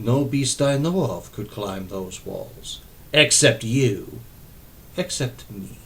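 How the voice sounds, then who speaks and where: A quiet man in a put-on character voice, medium-pitched and very slow, over clear background noise. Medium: read story. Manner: quiet, unsettling.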